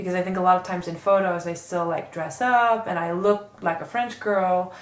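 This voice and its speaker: A woman with a New York accent speaks at a medium pitch and moderate pace amid noticeable background noise and audible room echo. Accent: New York American English. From New York, US. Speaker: online magazine founder and art director. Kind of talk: interview. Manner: loud; animated.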